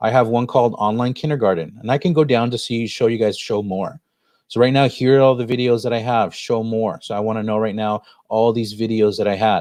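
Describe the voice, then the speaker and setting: Speaking at a fairly quick pace, a man keeps a medium pitch and fairly even intonation. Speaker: education technology coach. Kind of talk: online workshop tutorial. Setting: live stream screen share. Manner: fast.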